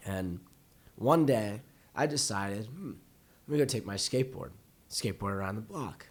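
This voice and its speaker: Using lively intonation and long, frequent pauses, a man speaks at a moderate pace in a medium pitch. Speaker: podcast co-host. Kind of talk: casual chat.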